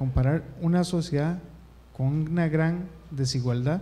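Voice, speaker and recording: A somewhat breathy man's voice, dark and mellow in tone, with ordinary pitch variation. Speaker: audience member, former student; audience member. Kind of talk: audience comment. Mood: grateful, reflective. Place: classroom. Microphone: handheld.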